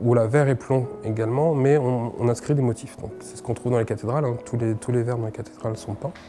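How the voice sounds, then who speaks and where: With music in the background, a man speaks at a medium pitch and fairly quick pace with ordinary pitch variation. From France, Chartres. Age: 30s. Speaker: stained-glass artisan. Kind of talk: interview. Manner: hesitant, many fillers.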